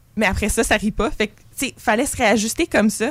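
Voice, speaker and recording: A woman speaks in a normal speaking voice at a fairly high pitch. Her intonation is lively and her pace moderate. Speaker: student theatre performer. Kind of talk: interview.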